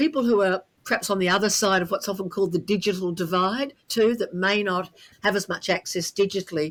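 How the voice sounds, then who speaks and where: Someone speaks with an Australian accent at a fairly quick pace, with ordinary pitch variation. The recording is very clean, with a silent background. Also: woman, medium pitch for a woman. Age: 70s. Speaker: podcast co-host. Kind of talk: casual interview chat.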